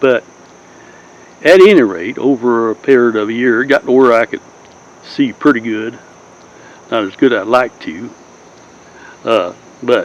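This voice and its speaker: In a Southern US accent, a man speaks at a moderate pace and medium pitch with ordinary pitch variation. He leaves long, frequent pauses. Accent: southern, acquired. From Southern California. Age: 80s+. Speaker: YouTuber, Navy veteran storyteller. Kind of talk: casual monologue. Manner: rambling, hesitant with fillers.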